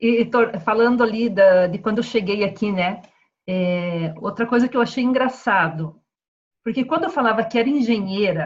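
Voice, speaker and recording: Moving at a moderate pace, this speech comes out somewhat breathy. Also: woman, fairly high pitch for a woman, ordinary pitch variation. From southern Brazil, Paraná. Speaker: civil engineer. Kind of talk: video call interview.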